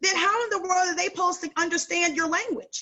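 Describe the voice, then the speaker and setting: This woman's voice sits at an extremely high pitch, with an animated tone and a fairly quick pace. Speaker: sales director and coach. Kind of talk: training call talk.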